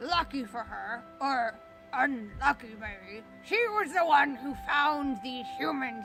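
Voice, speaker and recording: Clear music plays behind a put-on character voice with a fairly high pitch at a fairly slow pace. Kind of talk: spooky campfire tale. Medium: solo performance. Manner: conversational, folksy.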